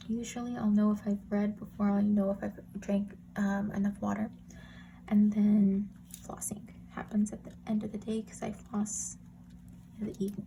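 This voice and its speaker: Soft-spoken delivery at a moderate pace. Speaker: planner YouTuber. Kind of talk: casual tutorial. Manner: soft-spoken, talking quietly.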